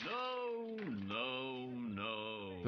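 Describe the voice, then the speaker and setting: A man performs a put-on character voice against clear background noise. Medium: short film. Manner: commanding.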